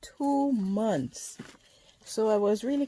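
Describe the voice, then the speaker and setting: A woman talks in a soft-spoken way, her pitch varying in an ordinary manner. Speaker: worm farming vlogger. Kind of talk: casual tutorial vlog.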